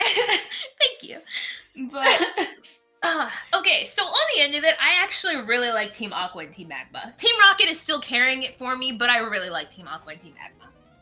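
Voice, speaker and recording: With music in the background, a woman with a high pitch uses a raised, projected voice at a moderate pace, showing very wide pitch swings and big swings in loudness. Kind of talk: casual podcast chat.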